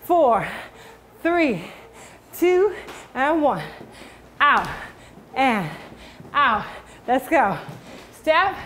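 The speech moves at a very slow pace, broken by long, frequent pauses, and the pitch swings very widely. Light background noise can be heard. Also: woman, high pitch for a woman. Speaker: fitness instructor. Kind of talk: shouted workout cues and counting. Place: gym.

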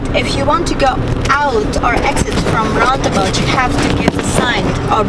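Loud background noise accompanies speech at a moderate pace, with a dry sound and no echo. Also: woman. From Indonesia. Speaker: vlogger. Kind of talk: casual talk to camera while driving. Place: car. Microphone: camera far.

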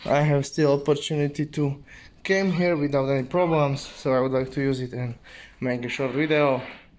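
The speaker is a man at a moderate pace. His intonation is fairly even. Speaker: urban explorer vlogger. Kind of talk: casual vlog commentary. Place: empty room. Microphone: phone near.

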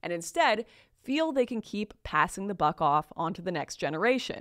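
With a Canadian accent, a woman talks in an animated tone at a fairly quick pace, her voice showing vocal fry and very wide pitch swings against a quiet background. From Canada. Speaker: commentator. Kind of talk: opinionated monologue to camera. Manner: animated, sarcastic. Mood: indignant, critical. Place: studio. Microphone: studio mic.

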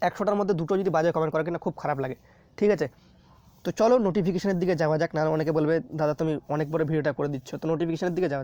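A man's fairly high, dark, mellow voice with ordinary pitch variation. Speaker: education YouTuber. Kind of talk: casual vlog talk to viewers.

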